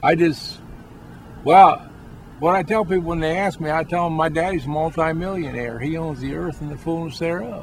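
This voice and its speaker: A man's fairly high voice at a moderate pace, with fairly even intonation and noticeable background noise. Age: 60s. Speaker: street preacher. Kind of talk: casual chat. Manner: halting.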